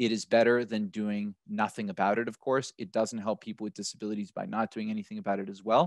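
A man with an American accent talks very fast at a fairly low pitch, with fairly even intonation and hardly any pauses. The sound is dry with no echo and the background is quiet. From United States. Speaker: accessibility software partner manager; panelist. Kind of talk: panel webinar discussion. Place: home room. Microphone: headset.

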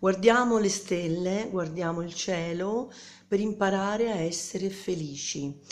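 Ordinary pitch variation from a woman at a fairly slow pace. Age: 50s. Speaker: singer-songwriter. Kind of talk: self-introduction video; casual self-introduction vlog. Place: home room. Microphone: phone near.

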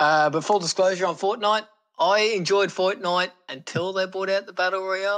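A man with an Australian accent speaks at a high pitch. He talks fairly quickly with fairly even intonation. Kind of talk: casual chat. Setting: video call.

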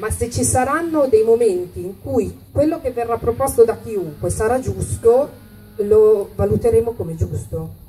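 A woman talks at a fairly slow pace with light background noise present. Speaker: city councillor. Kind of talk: political speech. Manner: reading from notes. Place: stage.

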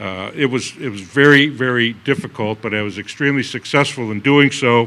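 A man talks at a fairly quick pace, his pitch medium with ordinary variation. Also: fairly bright tone.

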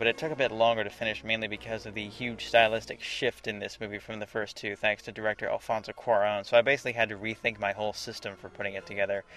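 A man's fairly low voice at a very fast pace, with hardly any pauses, big swings in loudness, and monotone, flat intonation. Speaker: video editor. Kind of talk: scripted commentary narration.

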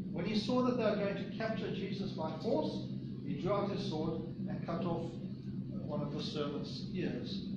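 Recorded with audible room echo and loud background noise, a man speaks with ordinary pitch variation. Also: moderate pace. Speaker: preacher. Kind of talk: sermon. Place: church. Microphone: camera far.

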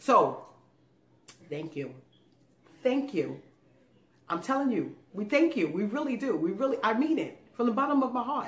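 Speaking at a moderate pace with long, frequent pauses, a woman with a high pitch uses very wide pitch swings and an animated tone. Audible room echo surrounds her voice. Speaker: food YouTube channel co-host. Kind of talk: casual thank-you message to viewers. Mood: warm, grateful, playful. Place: home room.

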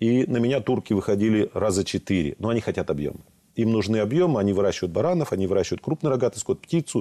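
A man rattles off his words at a very fast pace, the background quiet. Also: lively intonation, very even loudness. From southern Russia, Rostov region; southern Russia. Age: 60s. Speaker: regional legislator and gas company director; guest. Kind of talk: studio interview. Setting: studio. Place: studio. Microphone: lapel.

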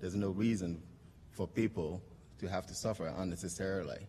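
At a fairly quick pace, a man speaks with a very deep, low pitch. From Togo, border town. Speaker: social entrepreneur, company founder. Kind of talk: award acceptance speech; speech. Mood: earnest, hopeful. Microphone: podium.

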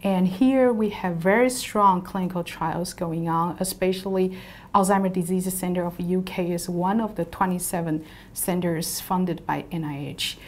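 A woman with a Taiwanese accent speaks at a fairly slow pace with fairly even intonation. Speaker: university professor and lab principal investigator. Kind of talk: interview monologue about her background and research. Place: office. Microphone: lapel.

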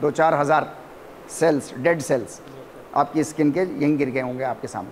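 Fairly high-pitched for a man, he talks at a fairly slow pace with fairly even intonation and long, frequent pauses over light background noise. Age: 50s. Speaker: professor. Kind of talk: lecture. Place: classroom. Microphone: lapel.

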